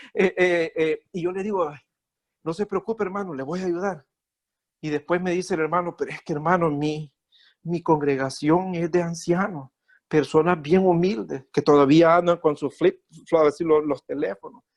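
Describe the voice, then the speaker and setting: This man's voice sits high in pitch, moving at a moderate pace with fairly even intonation. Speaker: lay preacher. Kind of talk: sermon. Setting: video call. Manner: halting.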